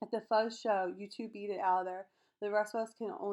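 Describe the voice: Plain reading aloud, its intonation fairly even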